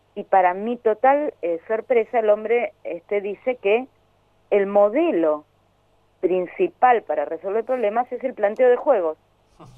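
Speaking at a fairly slow pace, a woman with a Rioplatense accent uses a fairly high pitch and lively intonation. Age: 60s. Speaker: educator and social psychologist. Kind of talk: interview. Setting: phone call. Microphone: phone.

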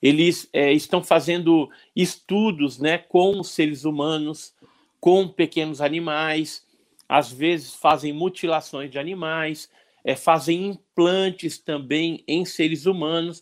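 At a very slow pace, a man talks with a fairly high pitch for a man and fairly even intonation. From Santos, Brazil. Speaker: ufologist and researcher. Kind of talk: casual podcast interview. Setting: online/livestream with chat.

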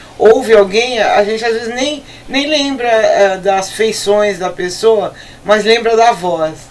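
There is audible room echo and noticeable background noise as a woman speaks very slowly. Her pitch is fairly high, with ordinary variation. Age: 50s. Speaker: rock radio co-host. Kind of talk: casual chat.

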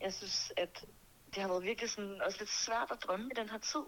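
In a plain, everyday voice, a woman talks at a fairly quick pace and medium pitch with ordinary pitch variation. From Denmark, Birkerød near Copenhagen. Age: 20s. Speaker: singer and music producer. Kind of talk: interview.

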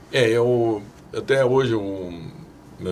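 Fairly even intonation from a man, with audible room echo and noticeable background noise. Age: 60s. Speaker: municipal sports secretary. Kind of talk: interview.

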